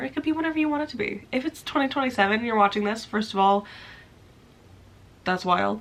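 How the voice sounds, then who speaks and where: A woman talks at a very fast pace in an animated tone. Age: 20s. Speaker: crochet and knitting YouTuber. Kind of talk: casual vlog talk to camera.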